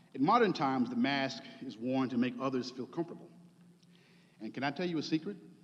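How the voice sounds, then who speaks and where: A man's lively intonation moves at a fairly quick pace, with audible room echo. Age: 50s. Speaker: preacher. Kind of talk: sermon.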